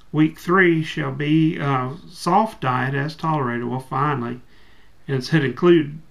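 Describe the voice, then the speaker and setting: Against noticeable background noise, a man with a fairly high pitch talks at a fairly slow pace. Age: 40s. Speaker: bariatric surgery patient. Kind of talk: reading aloud from instructions.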